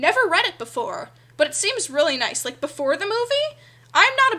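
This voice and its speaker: A woman's raised, projected voice has a bright, sharp tone and swings very widely in pitch. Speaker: digital artist streamer. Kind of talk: casual livestream chat while drawing. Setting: live stream. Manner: stutters a little when reading aloud; chatty and upbeat.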